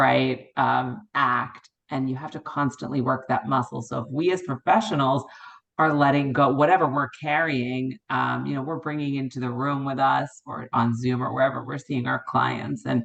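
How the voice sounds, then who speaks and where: A woman's very deep, low pitch with vocal fry and fairly even intonation. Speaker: co-parenting specialist and divorce coach. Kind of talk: meeting comment.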